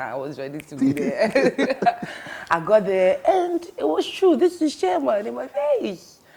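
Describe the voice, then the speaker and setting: A woman speaks at a fairly slow pace with big swings in loudness over noticeable background noise. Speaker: TV presenter. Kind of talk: casual chat. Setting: studio.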